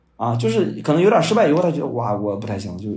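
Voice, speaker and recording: The speech comes at a very fast pace, with audible room echo. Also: man. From China, Shandong. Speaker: new media content strategist and author. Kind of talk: podcast interview. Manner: fast, repetitive filler words.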